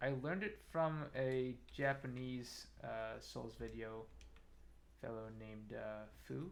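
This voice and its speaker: A man speaks very slowly, and audible room echo is present. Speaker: game streamer. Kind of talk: casual gameplay commentary. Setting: live stream. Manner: soft-spoken.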